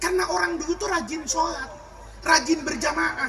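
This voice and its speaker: Noticeable background noise sits behind a man speaking at a very fast pace. His tone is animated, with very wide pitch swings. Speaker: Islamic preacher. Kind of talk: sermon.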